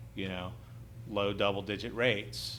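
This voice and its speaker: A man's fairly low-pitched voice with vocal fry and audible room echo. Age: 40s. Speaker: private real estate lender. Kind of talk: podcast interview.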